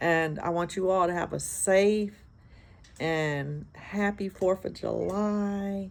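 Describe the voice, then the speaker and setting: Using an American accent, a woman talks at a very slow pace with fairly even intonation. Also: medium pitch for a woman. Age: 60s. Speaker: hairstylist vlogger. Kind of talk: casual vlog monologue. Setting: outdoors on a porch.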